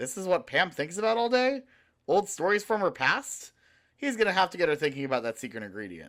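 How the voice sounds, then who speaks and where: In a put-on character voice at middle pitch, the speaker moves at a fairly quick pace with very wide pitch swings on a very clean recording with a silent background. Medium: read story. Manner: self-satisfied, theatrical.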